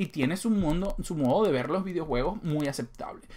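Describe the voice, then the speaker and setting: This is a man speaking. He talks at a fairly quick pace. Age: 30s. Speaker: gaming YouTuber; gaming video creator. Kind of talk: casual monologue to viewers. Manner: conversational, with fillers. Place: home room.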